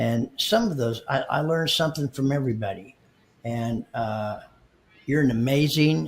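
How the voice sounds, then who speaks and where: A man at a medium pitch, with ordinary pitch variation, a fairly slow pace, and long, frequent pauses. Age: 60s. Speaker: marketing company co-founder. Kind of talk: podcast interview. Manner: halting, many repeated words.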